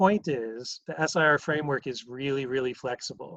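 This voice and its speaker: Here a man talks with ordinary pitch variation. The background is quiet. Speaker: math professor. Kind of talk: lecture. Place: home room. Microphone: webcam.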